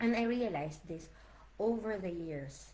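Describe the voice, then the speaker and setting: Speaking fairly slowly in a Filipino accent, a woman uses lively intonation. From Philippines. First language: Tagalog. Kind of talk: casual livestream talk to camera. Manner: warm, encouraging.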